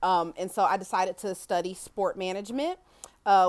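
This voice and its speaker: Recorded very cleanly against a silent background, a woman talks at a fairly quick pace with an American accent. Her voice sits at medium pitch with ordinary pitch variation. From US Midwest, Kansas City, Missouri. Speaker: author. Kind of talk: interview.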